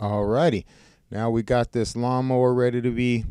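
A man talks at a moderate pace in a dark, mellow tone. The sound is dry with no echo, over a quiet background. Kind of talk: tutorial. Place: workshop. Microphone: phone near.

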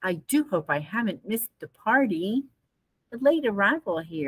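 Read in a natural reading voice, the clip has lively intonation over a quiet background.

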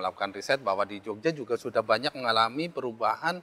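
With ordinary pitch variation, a man's voice carries a bright, sharp tone. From Central Java (Banjarnegara); Central Java. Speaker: head of a meteorological station; guest. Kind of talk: interview. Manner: halting, many fillers. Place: shop. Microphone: lapel.

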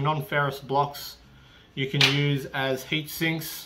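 Light background noise behind a man's voice. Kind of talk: tutorial. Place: garage.

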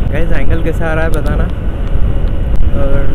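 Over loud background noise, a man talks at a fairly slow pace with a dry sound and no echo. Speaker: motovlogger. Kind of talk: casual vlog chat. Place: motorbike. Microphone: helmet.

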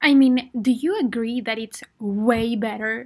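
Her pitch is fairly high and her intonation fairly even. The woman speaks at a fairly slow pace. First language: Spanish. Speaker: podcast host, English teacher. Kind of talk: solo podcast monologue. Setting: home closet, recording for better audio. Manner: friendly, warm.

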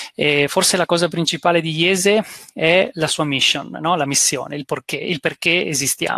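In a dry sound with no echo and a quiet background, a man speaks at a fairly high pitch in a bright, sharp tone, with ordinary pitch variation and a fairly slow pace. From Italy. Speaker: business school executive; guest. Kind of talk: presentation. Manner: halting, many fillers. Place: home room. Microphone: headset.

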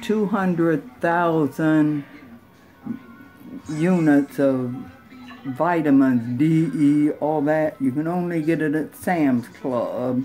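A woman speaks very slowly in a very deep, low voice with ordinary pitch variation. Faint music plays in the background. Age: 80s+. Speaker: great aunt telling stories. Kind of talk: casual storytelling. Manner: blunt, feisty. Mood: feisty, humorous, unfiltered. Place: home room.

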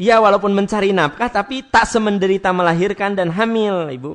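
With a Sundanese accent, a man talks at a fairly quick pace in a high voice. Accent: Sundanese-accented Indonesian. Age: 40s. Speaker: Islamic preacher. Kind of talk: sermon. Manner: conversational, addressing audience directly.

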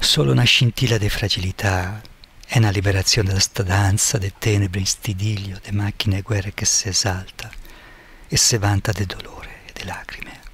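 A man at a moderate pace, fairly low in pitch with fairly even intonation, amid noticeable background noise. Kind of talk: poetry reading.

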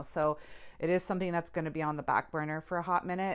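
A woman talks at a fairly low pitch. The background is quiet. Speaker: home vlogger. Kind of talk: casual vlog chat. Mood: self-deprecating, candid. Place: bathroom. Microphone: phone near.

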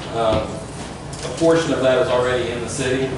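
A man speaks with strong room echo. Noticeable background noise is audible. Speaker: applicant presenting to city council. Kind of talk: formal presentation. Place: meeting room. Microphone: camera far.

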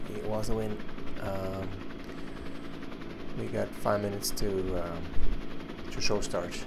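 The male speaker keeps a moderate pace while noticeable noise sounds behind him. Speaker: cyclist streamer. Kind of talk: casual vlog chat. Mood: self-deprecating, low expectations. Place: home room.

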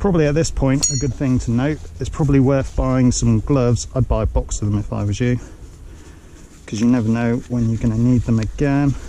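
At a fairly quick pace, the voice has a dark, mellow tone and fairly even intonation. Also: man, medium pitch for a man.

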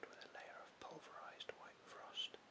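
The pace here is fairly slow. A man delivers it in a whisper. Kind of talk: audiobook reading. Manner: whispered.

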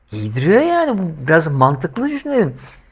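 A man talks at a fairly slow pace with lively intonation. His voice is somewhat breathy. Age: 50s. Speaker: YouTuber. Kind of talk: monologue vlog commentary. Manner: animated. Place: home room. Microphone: lapel.

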